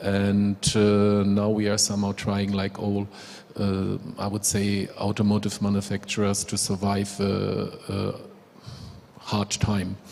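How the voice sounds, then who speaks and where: Speaking fairly slowly in a German accent, a man has a fairly low pitch, a dark, mellow tone and monotone, flat intonation. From Germany. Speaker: manufacturing company executive. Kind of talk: panel introduction. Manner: halting.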